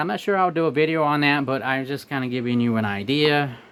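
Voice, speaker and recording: At a moderate pace, a man talks as noticeable background noise carries on. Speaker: unboxing video maker. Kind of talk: casual product demo. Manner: halting, repeats words.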